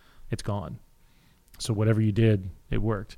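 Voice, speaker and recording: A man talks at a moderate pace with a slight Midwestern accent and a fairly low pitch. His tone is dark and mellow, and his intonation is fairly even. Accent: slight rural Midwest. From Kansas. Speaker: CBD store chain owner. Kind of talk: casual interview. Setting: studio.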